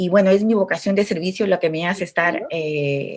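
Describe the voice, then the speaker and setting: Against a quiet background, a woman speaks at a moderate pace with fairly low pitch and a normal speaking voice. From Peru, Chimbote (Áncash coast). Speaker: political candidate. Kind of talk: political debate. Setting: video call.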